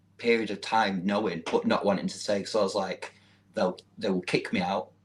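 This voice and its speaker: With a Manchester accent, a man talks at a moderate pace with lively intonation. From northern England, Manchester. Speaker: social media model. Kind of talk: interview.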